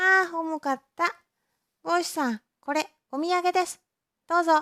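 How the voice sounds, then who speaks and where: At a moderate pace, a put-on character voice squeaks out at an extremely high pitch. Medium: read story. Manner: polite but impudent.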